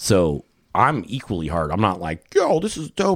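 A man with an American accent and lively intonation. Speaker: fishing lure maker. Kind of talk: casual chat. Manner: rambling, all over the place.

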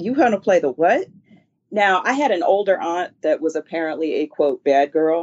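A woman with an American accent speaks at a medium pitch and a moderate pace. Her intonation is lively, and she has a plain, everyday voice. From Philadelphia, US. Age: 50s. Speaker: classical musician and music teacher. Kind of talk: casual interview chat.

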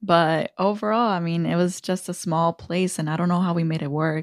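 In a very clean recording with a silent background and a dry, close sound with no echo, a plain, everyday voice moves at a fairly quick pace with fairly even intonation. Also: woman. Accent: American. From Aurora, Illinois, US. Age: 30s. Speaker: state representative, politician. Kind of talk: casual interview chat.

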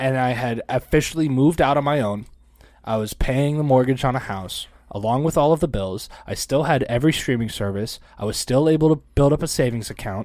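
A man with a plain, everyday voice speaks at a fairly quick pace with a medium pitch and ordinary pitch variation, on a very clean recording with a silent background. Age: 30s. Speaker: podcast co-host. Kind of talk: casual chat.

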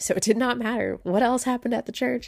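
Vocal fry colors the woman's voice as she talks at a fairly quick pace. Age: 30s. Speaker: podcast host. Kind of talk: personal storytelling monologue.

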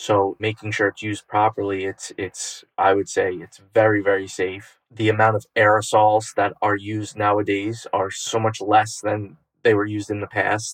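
With an American accent, a man talks at a fairly low pitch and a moderate pace, his intonation monotone and flat. The sound is dry and close, with no echo. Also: hardly any pauses, quiet background. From Westchester, New York. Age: 30s. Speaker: exterminator. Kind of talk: interview.

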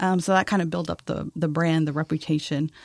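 Recorded very cleanly against a silent background, with a dry, close sound and no echo, a woman at a fairly low pitch speaks at a fairly quick pace with fairly even intonation. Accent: American. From Texas, El Paso. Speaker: marketing agency owner. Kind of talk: interview. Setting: studio.

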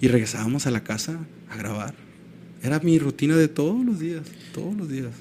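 A man with a fairly high voice talks at a fairly quick pace with lively intonation. His loudness swings widely, and he leaves long, frequent pauses. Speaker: musician. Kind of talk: casual chat. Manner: animated.

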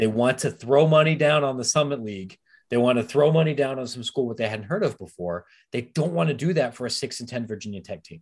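A medium-pitched man at a very fast pace, with lively intonation and big swings in loudness. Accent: American. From US Midwest, central Ohio (Licking County). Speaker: sports publisher. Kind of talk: podcast interview.

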